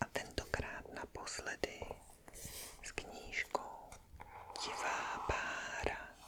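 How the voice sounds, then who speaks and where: Whispering at a very slow pace, a woman speaks against noticeable background noise. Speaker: ASMR content creator reading a classic novel aloud. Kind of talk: whispered ASMR intro and recap of the previous chapters. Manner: whispered, soft, relaxing.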